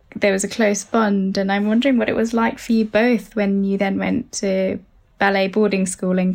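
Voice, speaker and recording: With a British accent, the speaker talks at a moderate pace in a flat monotone, keeping the loudness very even. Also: woman. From UK, of Sri Lankan parents. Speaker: psychotherapist. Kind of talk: advice conversation.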